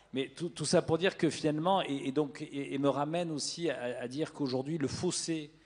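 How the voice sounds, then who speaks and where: This man speaks at a moderate pace with hardly any pauses. His pitch is fairly high and his intonation fairly even. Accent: Toulouse. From southern France, Toulouse. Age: 40s. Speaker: media executive. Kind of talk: panel discussion. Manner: halting, many hesitations.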